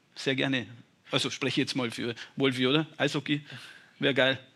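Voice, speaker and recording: Flat and monotone in intonation, a man speaks at a medium pitch with vocal fry and a bright, sharp tone. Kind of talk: casual interview. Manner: plain-spoken, informal.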